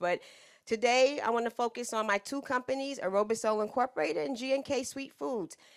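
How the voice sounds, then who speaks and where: The speaker sounds animated, with lively intonation and a fairly quick pace, in a very clean recording with a silent background. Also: woman. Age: 60s. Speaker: business owner and consultant. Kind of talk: lecture. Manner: loud.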